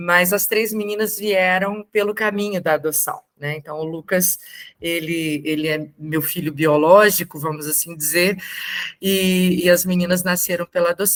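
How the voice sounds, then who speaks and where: A woman speaks at a fairly slow pace with fairly even intonation. Her pitch is fairly low. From Brazil, Brasília. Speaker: adoptive mother and invited speaker. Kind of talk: talk to support group.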